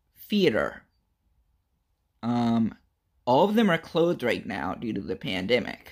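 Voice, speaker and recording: In an American accent, a man with a medium pitch and vocal fry speaks at a fairly slow pace, his pitch swinging very widely. Long, frequent pauses break his speech against a quiet background. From Richmond, Virginia. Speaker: podcast host. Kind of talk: casual talk to camera. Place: home room.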